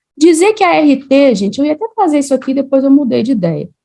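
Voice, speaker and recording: A woman with a Minas Gerais accent speaks with very wide pitch swings. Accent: Mineiro. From Minas Gerais, Brazil (Juiz de Fora). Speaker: civil engineer and teacher. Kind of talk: online lecture. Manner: casual, conversational.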